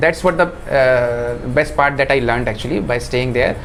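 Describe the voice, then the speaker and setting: The man's fairly fast talking is heard with noticeable noise behind it. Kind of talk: interview answer.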